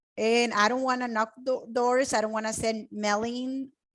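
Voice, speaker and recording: With a Spanish accent, a woman speaks at a high pitch and a moderate pace. Her pitch variation is ordinary. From Mexico. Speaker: web designer and real estate investor. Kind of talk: online training presentation. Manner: animated.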